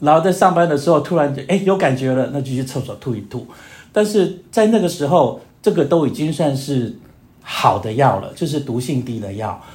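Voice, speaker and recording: A man with a fairly high pitch speaks at a moderate pace with lively intonation and a somewhat breathy sound, with audible echo in the room. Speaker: long-term HIV patient. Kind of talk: casual chat.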